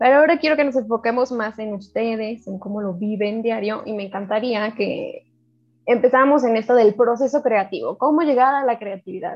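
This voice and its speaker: Using an unremarkable speaking voice, a woman talks at a fairly quick pace and a fairly high pitch with ordinary pitch variation. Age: 20s. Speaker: podcast co-host. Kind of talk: casual chat.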